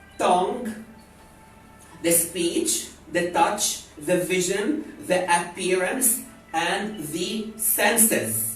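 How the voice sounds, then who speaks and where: The speech moves at a very slow pace with music playing in the background. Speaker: spiritual wellness teacher. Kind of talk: lecture. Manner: animated.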